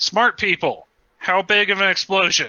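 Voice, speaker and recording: Using a put-on character voice, a man speaks at a moderate pace with a high pitch and monotone, flat intonation. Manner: weak, cracking voice.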